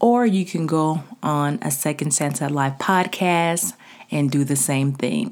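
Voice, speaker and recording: A woman with a very deep, low pitch speaks at a fairly slow pace with lively intonation. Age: 40s. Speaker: podcast host, life coach for women. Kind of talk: motivational solo podcast talk. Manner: casual, conversational.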